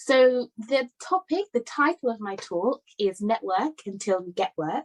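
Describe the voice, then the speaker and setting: In a British accent, the speaker talks at a fairly slow pace with very wide pitch swings, the sound dry and close with no echo. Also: woman, fairly high pitch for a woman, big swings in loudness. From London, England. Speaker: conference speaker. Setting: virtual summit.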